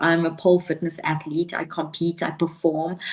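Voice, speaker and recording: Noticeable background noise runs behind a woman with a fairly low pitch. She speaks at a moderate pace. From South Africa. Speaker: life coach and pole fitness athlete. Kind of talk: interview conversation.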